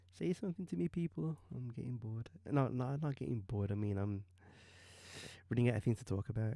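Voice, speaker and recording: A man with a British accent speaks at a very fast pace with lively intonation and a dark, mellow tone, broken by long, frequent pauses, in a very clean recording with a silent background. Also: medium pitch for a man. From UK. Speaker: digital artist streamer. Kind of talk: live stream commentary while painting. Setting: live stream. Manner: hesitant, many ums.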